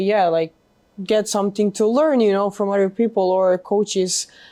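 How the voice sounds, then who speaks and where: A dark, mellow tone in a Macedonian accent, with fairly even intonation and a moderate pace. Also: woman. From North Macedonia. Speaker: college tennis player. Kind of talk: interview. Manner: halting.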